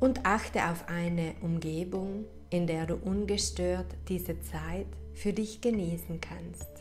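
Music plays in the background as a woman talks at a very slow pace. Her tone is calm and soothing. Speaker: meditation guide, life coach. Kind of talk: guided meditation / hypnosis relaxation. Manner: slow, calm, soothing, with long pauses.

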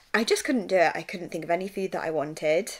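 A woman speaks with an English accent at a medium pitch. The background is quiet. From England. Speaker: vlogger. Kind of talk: personal vlog. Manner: low-energy. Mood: candid, slightly frazzled, humorous. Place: home room. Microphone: phone near.

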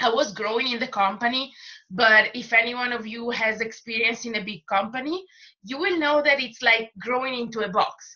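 In an Italian accent, the speaker uses a bright, sharp tone, ordinary pitch variation, and a moderate pace against a quiet background. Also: woman, fairly high pitch for a woman. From Italy. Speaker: makeup artist and distributor; presenter. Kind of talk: testimony. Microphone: video call.

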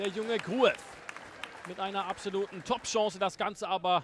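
A man's animated, upbeat tone. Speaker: football commentator. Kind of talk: live-style football match commentary over highlights, recapping chances and goals. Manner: animated, urgent bursts on chances ("Tempo! Tempo!"), otherwise fluent and upbeat.

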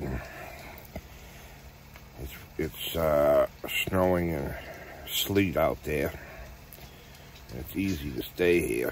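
Over light background noise, in a dry sound with no echo, a man with a very deep, low pitch speaks at a very slow pace with ordinary pitch variation and long, frequent pauses. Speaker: camping vlogger. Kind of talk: casual vlog chat. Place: tent. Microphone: phone near.

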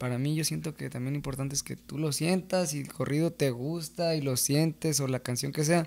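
Fairly quick delivery with fairly even intonation and hardly any pauses. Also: man, fairly high pitch for a man. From Mexico, San Gabriel, Jalisco; Jalisco, Mexico. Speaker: singer-songwriter of corridos; podcast guest. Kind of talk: casual interview chat. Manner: hesitant, many fillers. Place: studio. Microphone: studio mic.

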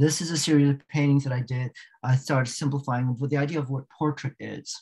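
A man with an American accent speaks over a quiet background. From Northern Virginia, US; Virginia. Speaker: artist and art professor. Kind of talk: talk with slide presentation. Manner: halting. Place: home room. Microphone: webcam.

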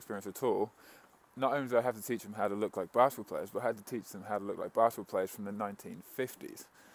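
A man talks with fairly even intonation, and the sound is dry with no echo. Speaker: vlogger, coach. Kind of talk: casual vlog chat. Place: street. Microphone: earbuds.

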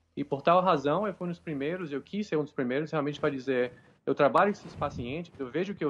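Speaking very fast over light background noise, a man uses a fairly high pitch with ordinary pitch variation. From Salvador, Bahia, Brazil. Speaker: nurse. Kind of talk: live interview. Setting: video call. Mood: hopeful, earnest. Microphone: video call.

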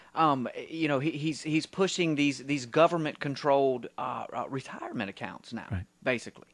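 Over a quiet background, a man with a plain, everyday voice talks at a moderate pace in a fairly high pitch with ordinary pitch variation. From US South. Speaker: radio co-host and writer; radio co-host. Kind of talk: talk radio call-in show. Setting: radio studio. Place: studio.

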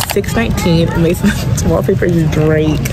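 Background music plays throughout. Over it, a woman talks. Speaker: vlogger. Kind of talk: casual vlog chat. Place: station. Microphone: phone near.

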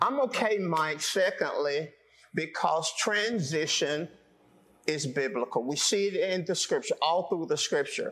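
A man with a Southern US accent, high-pitched, at a fairly slow pace, with lively intonation. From US South. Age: 60s. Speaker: pastor. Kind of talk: sermon. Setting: church. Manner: animated. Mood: calm, earnest. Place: empty room. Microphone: lapel.

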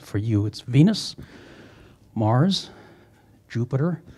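A man speaks at a fairly slow pace in a dark, mellow, somewhat breathy tone with lively intonation. The background is quiet. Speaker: planetarium staff host. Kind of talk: event introduction and moderation. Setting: stage with audience. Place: hall.

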